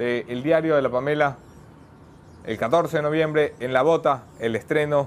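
Ordinary pitch variation runs through this man's fairly high voice. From not from Guayaquil. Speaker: journalist and show host; news show host. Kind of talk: news monologue; interview. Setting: studio in Guayaquil.

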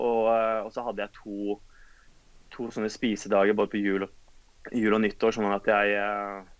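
Speaking at a fairly slow pace, a man leaves long, frequent pauses. His fairly low voice stays monotone and flat. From Oslo, Norway; Norway. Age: 30s. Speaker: physiotherapist and physique competitor; podcast guest. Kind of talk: interview conversation. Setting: Skype call. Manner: hesitant, many fillers. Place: home room. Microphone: video call.

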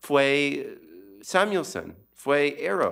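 Against a quiet background, a man with an English accent talks at a fairly high pitch. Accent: non-native Spanish, English-speaking. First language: English (speaking Spanish). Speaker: economist and book author; presenter, panelist. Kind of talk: book presentation talk; lecture. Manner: halting with many fillers. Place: hall. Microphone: podium.

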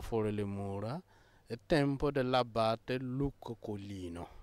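A man talks at a very slow pace, recorded with a dry, close sound and no echo. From Burkina Faso. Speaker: Benedictine monk. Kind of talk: interview. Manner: halting.

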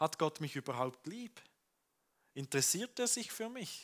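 At a fairly slow pace, a man with a warm tone makes very wide pitch swings against a quiet background. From Switzerland. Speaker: pastor. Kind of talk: sermon. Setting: church with congregation. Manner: conversational, warm, earnest. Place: church. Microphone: headset.

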